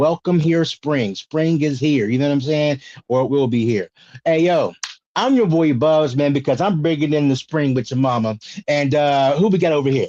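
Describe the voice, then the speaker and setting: Against a quiet background, a man with an American accent speaks at a moderate pace in a fairly high pitch, his tone dark and mellow, with ordinary pitch variation and very even loudness. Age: 40s. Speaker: podcast host. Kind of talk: casual chat.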